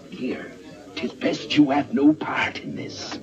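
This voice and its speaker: Clear background noise accompanies a man doing a put-on character voice at a fairly slow pace. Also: fairly high pitch for a man. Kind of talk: theatrical pirate dialect. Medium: short film. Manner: roguish, hearty, wily.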